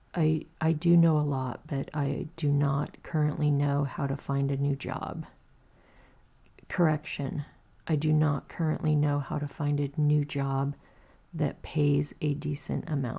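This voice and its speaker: At a fairly slow pace, a gravelly put-on character voice sits at a low-to-middle pitch over a quiet background. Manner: morning voice, low and gravelly.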